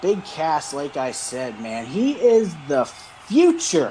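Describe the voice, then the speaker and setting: Very wide pitch swings mark a man's fairly slow delivery. Noticeable background noise runs underneath. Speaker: wrestling podcast co-host. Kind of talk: casual chat. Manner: animated.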